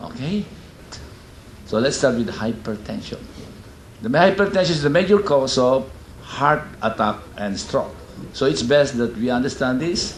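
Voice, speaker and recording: A man at a medium pitch and moderate pace, with very wide pitch swings, long, frequent pauses and audible room echo. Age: 60s. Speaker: doctor. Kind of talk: lecture.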